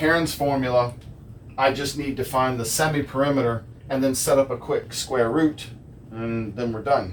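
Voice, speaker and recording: A man at a moderate pace, with audible room echo. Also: medium pitch for a man, fairly even intonation. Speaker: math teacher. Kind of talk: lecture. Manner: many fillers.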